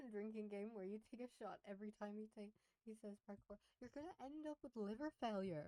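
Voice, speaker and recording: A woman with a fairly high pitch speaks quietly with ordinary pitch variation, in a dry, close sound with no echo. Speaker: streamer reacting to videos. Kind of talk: casual live stream commentary. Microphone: mic was too quiet, adjusted.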